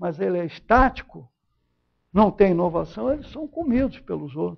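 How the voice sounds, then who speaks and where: Speaking at a fairly slow pace, a man uses a high voice. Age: 80s+. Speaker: professor. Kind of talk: lecture. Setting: lecture hall with audience. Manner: conversational, informal.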